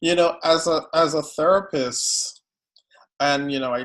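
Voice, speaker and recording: A man speaks in a Guyanese accent with ordinary pitch variation. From Guyana. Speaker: psychotherapist. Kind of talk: interview.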